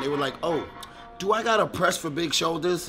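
A man talks fairly quickly, with noticeable background noise in the clip. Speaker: fitness vlogger. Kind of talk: casual vlog chat. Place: gym. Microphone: camera far.

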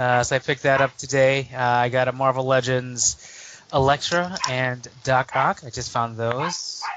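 Speaking with an American accent, a man uses a medium pitch and fairly even intonation with hardly any pauses. Noticeable background noise is present. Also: fairly slow pace. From Chicago, US Midwest. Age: 30s. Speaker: toy collector guest. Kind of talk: casual chat.

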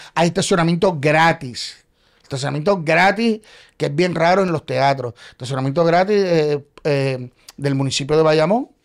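A man talks at a moderate pace with fairly high pitch and ordinary pitch variation. His loudness stays very even against a quiet background. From Puerto Rico. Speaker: playwright and actor; actor. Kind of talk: casual chat. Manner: animated. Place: studio. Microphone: studio mic.

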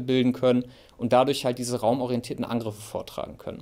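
A man is speaking. The background is quiet. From Germany. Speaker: military expert; military analyst. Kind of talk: expert interview. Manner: halting. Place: studio.

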